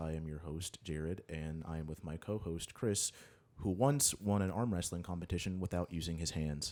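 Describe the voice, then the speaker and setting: In a very clean recording with a silent background, a soft-spoken man with a very deep, low pitch and a dark, mellow tone talks at a moderate pace with ordinary pitch variation. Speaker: podcast host. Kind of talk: casual chat.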